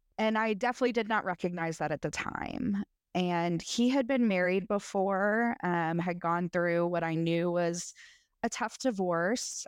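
A woman's ordinary speaking voice with an American accent, medium in pitch with ordinary pitch variation, fairly slow in pace, very even in loudness, over a quiet background. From US South, Middle Tennessee. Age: 30s. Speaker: podcast guest sharing abuse story. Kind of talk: testimony.

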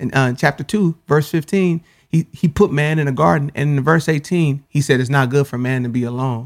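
A man with an unremarkable speaking voice, fairly high-pitched with ordinary pitch variation, at a moderate pace with hardly any pauses, on a very clean recording with a silent background. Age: 30s. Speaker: spoken word poet and author. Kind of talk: casual chat.

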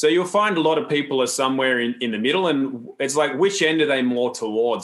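In an Australian accent, a man speaks at a moderate pace with ordinary pitch variation. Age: 40s. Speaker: health educator and seminar founder. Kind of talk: interview conversation. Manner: calm, grounded.

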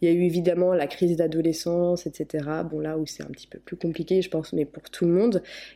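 A woman's dark, mellow voice, fairly low in pitch, with fairly even intonation at a moderate pace. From France, partly raised in the US. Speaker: YouTuber. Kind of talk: interview. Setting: Skype call.

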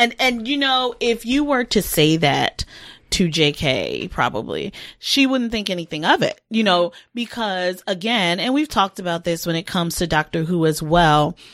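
On a very clean recording with a silent background, a woman speaks at a moderate pace and medium pitch, her voice making very wide pitch swings. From Baltimore, US. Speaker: podcast co-host. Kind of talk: casual chat.

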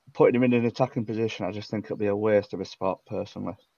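A very fast, monotone male voice, fairly low in pitch, dark and mellow in tone, with a dry, close sound and no echo. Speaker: football fan panellist.

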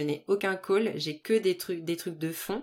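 In a very clean recording with a silent background, a woman with an unremarkable speaking voice talks at a fairly low pitch with ordinary pitch variation. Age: 30s. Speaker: restaurant business consultant. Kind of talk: casual chat.

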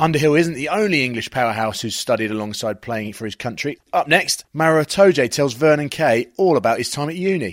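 With a normal speaking voice, a man talks at a fairly quick pace with hardly any pauses, using a fairly high pitch and lively intonation. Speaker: podcast host. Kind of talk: scripted narration.

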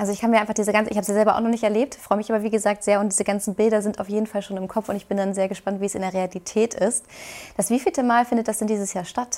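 Very fast and in a monotone, flat intonation, a woman speaks with a fairly high pitch. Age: young. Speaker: TV presenter and interviewer. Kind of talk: interview.

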